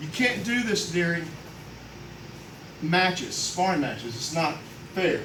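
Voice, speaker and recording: A loud man's high voice, fairly slow with long, frequent pauses and lively intonation, amid audible room echo and noticeable background noise. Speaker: karate master instructor. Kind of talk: demonstration.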